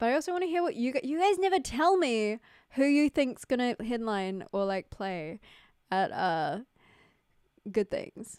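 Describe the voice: On a very clean recording with a silent background, a woman speaks at a moderate pace in a clear, smooth, slightly mellow tone with ordinary pitch variation.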